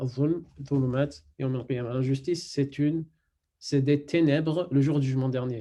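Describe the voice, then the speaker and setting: A man with a non-native accent speaks at a fairly high pitch in a dark, mellow tone. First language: not French (speaking French). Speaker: Quran and Arabic teacher. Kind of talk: online lesson. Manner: halting, many fillers.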